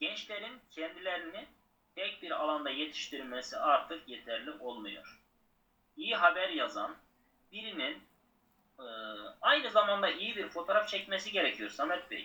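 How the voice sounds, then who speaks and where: A man speaks at a moderate pace in a raised, projected voice that is high-pitched for a man, with a bright, sharp tone. His delivery is broken by long, frequent pauses. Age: 40s. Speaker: former journalist, book cafe owner. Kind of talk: interview.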